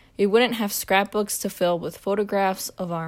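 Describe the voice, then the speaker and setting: On a very clean recording with a silent background, a woman with an unremarkable speaking voice talks at a fairly slow pace with ordinary pitch variation. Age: 20s. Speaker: university student. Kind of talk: scripted narration.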